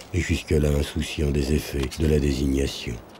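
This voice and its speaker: A man's very deep, low voice, fairly slow and monotone, with flat intonation. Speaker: actor. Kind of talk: documentary voice-over narration.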